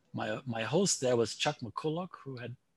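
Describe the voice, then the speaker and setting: A man speaks with a German accent. His voice is somewhat breathy. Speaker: statistics professor. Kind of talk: interview.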